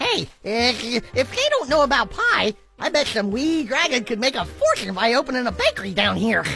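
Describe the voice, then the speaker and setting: The speaker uses a cartoonish character voice. Faint music plays in the background. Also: female-sounding voice, high pitch for a woman, moderate pace. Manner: giggly, easygoing.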